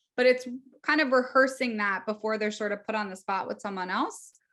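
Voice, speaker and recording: A woman's animated tone at a moderate pace with ordinary pitch variation. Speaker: speech therapist and social skills educator. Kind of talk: webinar presentation.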